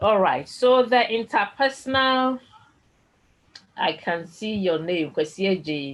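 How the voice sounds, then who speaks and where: Speaking very slowly in a Ghanaian accent, the voice makes very wide pitch swings and takes long, frequent pauses. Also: woman, fairly high pitch for a woman. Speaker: tutor. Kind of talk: online lecture.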